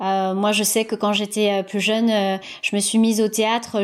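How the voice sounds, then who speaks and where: A woman's fairly slow delivery holds a medium pitch and fairly even intonation. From Paris suburbs, France (Seine-Saint-Denis). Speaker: podcaster and media creator. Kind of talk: interview. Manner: halting, many fillers and repetitions.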